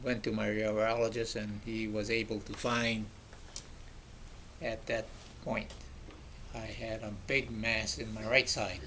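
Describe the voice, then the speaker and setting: Audible room echo surrounds a man speaking at a fairly slow pace in a medium pitch with a bright, sharp tone. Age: 80s+. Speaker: retired surgeon, cancer survivor. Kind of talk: testimony. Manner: halting.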